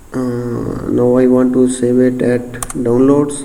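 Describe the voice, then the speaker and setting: A man speaks with a non-native accent. There's audible room echo and noticeable background noise. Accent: non-native English, self-described. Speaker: software tutorial creator. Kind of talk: tutorial. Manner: halting, many fillers.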